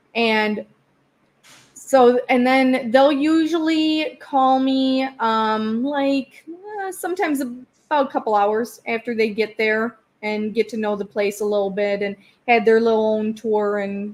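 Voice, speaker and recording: This woman has a fairly high pitch and a Wisconsin accent. She speaks at a fairly slow pace with ordinary pitch variation. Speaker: psychic medium. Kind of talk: interview.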